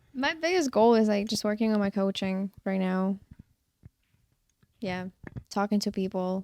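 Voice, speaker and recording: With a non-native accent and a dark, mellow tone, a woman speaks at a moderate pace, leaving long, frequent pauses. The sound is dry and close, with no echo. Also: medium pitch for a woman, ordinary pitch variation. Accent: foreign. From outside the US. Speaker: fitness coach. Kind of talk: casual chat.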